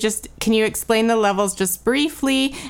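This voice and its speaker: A woman talks in a normal speaking voice at a moderate pace. Her intonation is lively. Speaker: podcast host. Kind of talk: interview conversation.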